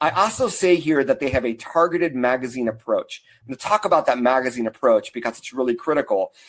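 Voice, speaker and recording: The delivery is very fast, with lively intonation. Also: man. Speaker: marketing consultant and speaker. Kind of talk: webinar presentation. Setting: online webinar.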